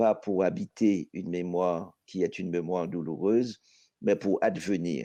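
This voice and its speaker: In a Haitian accent, the speaker talks fairly slowly with a dark, mellow tone and ordinary pitch variation against a quiet background. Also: man. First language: Haitian Creole (speaking French). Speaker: poet. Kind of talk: panel discussion.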